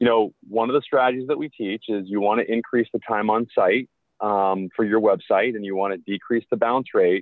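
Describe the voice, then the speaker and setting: Recorded dry with no echo over a quiet background, a man speaks at a moderate pace with fairly even intonation. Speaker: marketing agency host. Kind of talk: tutorial. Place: car. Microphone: phone near.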